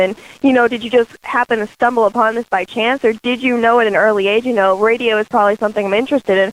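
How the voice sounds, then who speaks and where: Noticeable background noise sits behind a woman talking in a fairly high pitch. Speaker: radio host. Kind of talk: radio interview.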